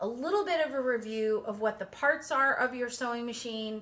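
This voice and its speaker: In a plain, everyday voice, a woman speaks at a moderate pace and a fairly high pitch. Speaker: quilting teacher. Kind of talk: tutorial. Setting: home studio.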